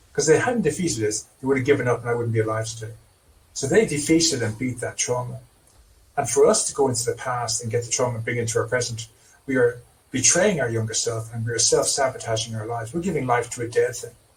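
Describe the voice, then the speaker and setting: With an Irish accent, a man talks at a very fast pace, at a medium pitch with ordinary pitch variation. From Ireland. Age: 60s. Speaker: trauma therapist. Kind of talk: interview.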